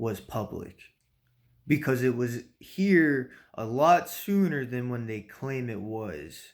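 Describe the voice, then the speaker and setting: Against a very clean, silent background, the voice moves at a very slow pace. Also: man. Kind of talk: casual monologue. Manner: halting, many fillers.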